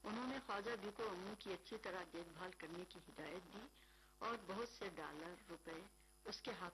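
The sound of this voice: With ordinary pitch variation, an unforced reading voice carries the clip.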